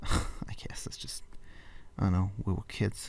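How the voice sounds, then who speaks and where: Quiet and somewhat breathy, a man speaks at a fairly slow pace with ordinary pitch variation and a dark, mellow tone. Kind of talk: casual late-night talk to camera. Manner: whispered; quiet, rambling.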